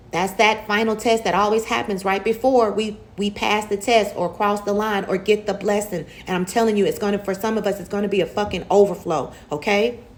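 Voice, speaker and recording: A woman's medium-pitched, animated voice at a fairly quick pace with hardly any pauses, over noticeable background noise. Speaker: tarot reader. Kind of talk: tarot reading monologue. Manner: fast.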